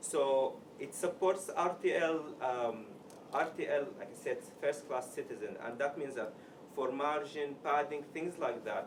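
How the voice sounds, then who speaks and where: Noticeable background noise sits behind a man with an Arabic accent who speaks fairly slowly at a fairly high pitch with ordinary variation. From Sudan. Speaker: software developer, meetup speaker. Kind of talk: tech talk. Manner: halting.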